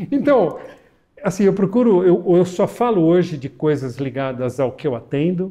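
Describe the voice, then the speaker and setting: With a dark, mellow tone and high pitch, a man talks at a moderate pace using very wide pitch swings. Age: 60s. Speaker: pulmonologist. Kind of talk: interview.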